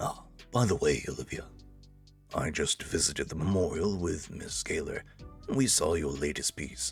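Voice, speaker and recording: Over faint background music, a man uses a put-on character voice, very deep and low in pitch and resonant, with lively intonation and long, frequent pauses. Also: moderate pace. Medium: game stream. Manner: formal, courteous.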